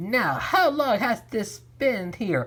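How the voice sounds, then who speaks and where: A woman uses a put-on character voice. Her pitch sits fairly high and swings very widely. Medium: read story.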